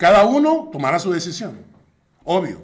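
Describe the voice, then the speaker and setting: A man with a fairly high voice and vocal fry speaks amid audible room echo. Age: 60s. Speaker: pastor. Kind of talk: sermon.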